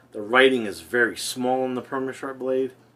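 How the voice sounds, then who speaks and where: A man talks with a New Jersey accent. His pitch is medium and his pace moderate. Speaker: wet shaving youtuber. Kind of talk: casual product review. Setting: bathroom at home. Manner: casual, rambling.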